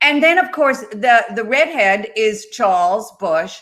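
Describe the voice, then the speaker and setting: The speaker has an American accent. The pace is very slow. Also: woman. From US Northeast, Long Island, New York. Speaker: actress and web show co-host. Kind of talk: casual chat.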